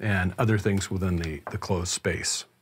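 Somewhat breathy and fairly low, a man's voice moves at a fairly quick pace. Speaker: gear reviewer. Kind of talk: tutorial. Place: home room. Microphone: studio mic.

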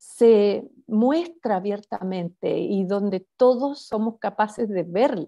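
Dark, mellow tone from a woman, quiet background. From Chile. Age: 50s. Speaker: spiritual author; interview guest. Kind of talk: interview conversation. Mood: calm, reflective. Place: home room. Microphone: video call.

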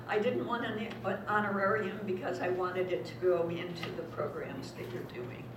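Noticeable background noise fills the recording. A woman talks amid audible room echo. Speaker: guest. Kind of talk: talk to audience. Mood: warm, appreciative. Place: hall. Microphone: camera far.

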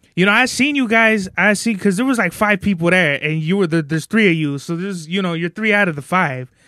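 A man's raised, projected voice, high-pitched with a bright, sharp tone, very fast with hardly any pauses and lively intonation, over a quiet background. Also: dry sound with no echo. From Southern California, Baldwin Park; California. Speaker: podcast host. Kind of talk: casual chat. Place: studio. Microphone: handheld.

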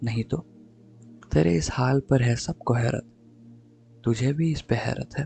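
With music in the background, a man speaks at a medium pitch in a dry, close sound with no echo. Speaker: voice-over artist. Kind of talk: poetry reading.

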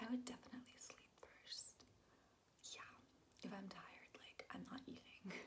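A woman whispering at a moderate pace. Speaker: vlogger. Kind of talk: casual vlog chat, Q&A answers. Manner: soft close-up ASMR speaking. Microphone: phone near.

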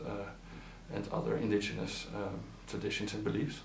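Audible room echo sits over light background noise in this clip. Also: man. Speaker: regional analyst for a nonprofit. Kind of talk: interview answer.

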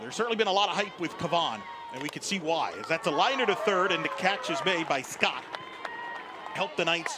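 Over noticeable background noise, a man talks at a fairly quick pace. His intonation is lively. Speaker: play-by-play sports commentator. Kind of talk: live sports commentary. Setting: broadcast booth at softball stadium.

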